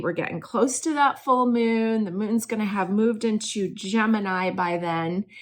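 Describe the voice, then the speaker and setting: A plain, everyday voice from a woman, fairly high in pitch, fairly slow, with ordinary pitch variation. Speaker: astrologer and tarot reader. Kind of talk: astrology forecast talk. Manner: casual, chatty.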